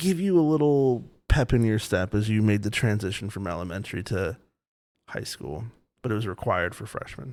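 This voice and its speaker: A man speaks fairly quickly in a fairly low voice, with lively intonation and big swings in loudness. The recording is very clean, with a silent background. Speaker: podcast co-host, parent in a blended family. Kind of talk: casual chat. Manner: animated.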